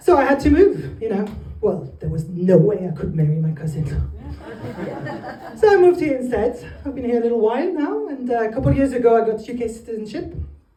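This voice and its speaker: A woman with a French accent talks very fast at a fairly high pitch, her voice swinging very widely, with long, frequent pauses. Room echo is audible and background noise is noticeable. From northern France. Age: 20s. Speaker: comedian. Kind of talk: stand-up. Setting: stage with audience.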